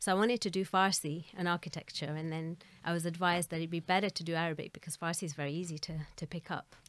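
A woman with a fairly low pitch talks at a very fast pace with fairly even intonation. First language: Gujarati. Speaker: Arabic teacher and translator. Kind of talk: interview.

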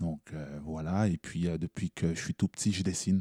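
A man speaks slowly-ish, at a fairly slow pace, with a very deep, low pitch and a dark, mellow tone. His fairly even intonation sits in a dry, close sound with no echo, on a very clean recording with a silent background. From Montreal, Quebec (Haitian parents). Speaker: slam poet. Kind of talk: interview.

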